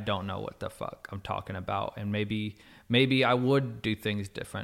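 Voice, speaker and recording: A man with an American accent speaks in an unremarkable speaking voice with ordinary pitch variation. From Texas, Plano. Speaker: tattoo artist. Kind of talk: casual chat.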